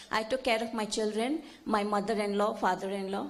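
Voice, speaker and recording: A woman talks at a fairly quick pace with a fairly high pitch. There is audible room echo. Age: 70s. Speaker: audience member at a conference. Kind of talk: audience comment at a conference.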